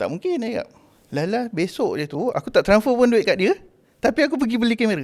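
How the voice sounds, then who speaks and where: At a fairly quick pace, a man talks in an extremely high pitch with very wide pitch swings. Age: 40s. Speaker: wedding photographer. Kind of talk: casual chat.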